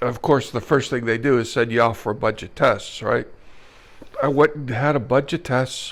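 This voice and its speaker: A plain, everyday voice at a moderate pace with fairly even intonation. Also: man, medium pitch for a man. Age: 60s. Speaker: retired businessman, ALS patient. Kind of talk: personal testimony.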